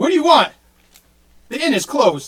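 Putting on a character voice, a man speaks at an extremely high pitch. His pace is moderate.

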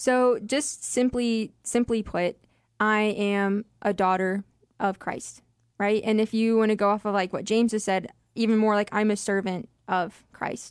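This woman has an unremarkable speaking voice, pitched fairly high, with fairly even intonation and a fairly slow pace. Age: 20s. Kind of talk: Bible study discussion, scripture reading. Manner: casual, uses 'like'.

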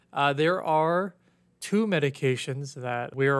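A man with an unremarkable speaking voice, fairly high pitch and ordinary pitch variation, at a fairly slow pace, in a very clean recording with a silent background. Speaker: ophthalmology podcast host. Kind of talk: educational podcast discussion. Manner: casual, conversational.

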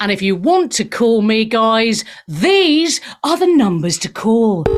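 A woman's fairly high voice with big pitch swings at a slow pace

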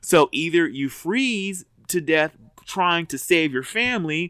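Pitched fairly high, a man talks in an unremarkable speaking voice with ordinary pitch variation. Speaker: podcast co-host. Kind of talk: casual chat.

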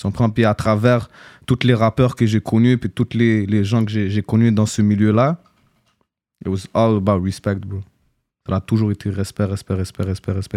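The dry, close sound has no echo, and the voice has a dark, mellow tone, monotone, flat intonation, and a moderate pace broken by long, frequent pauses. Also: man. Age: 20s. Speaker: former rapper. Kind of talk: casual interview.

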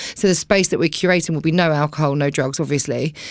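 A woman's very deep, low voice in an Essex accent, with fairly even intonation. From Essex, England (Romford, Billericay). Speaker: DJ. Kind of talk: casual chat. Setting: studio.

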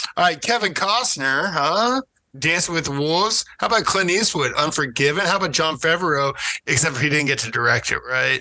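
This man has a normal speaking voice at a fairly high pitch and a moderate pace. His intonation is lively while his loudness stays very even. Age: 30s. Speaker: podcast guest, 90s film fan. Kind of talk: casual chat.

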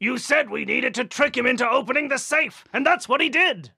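A cartoonish character voice pitched high. The pace is fairly quick. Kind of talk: cartoon villain acting. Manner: gloating, menacing.

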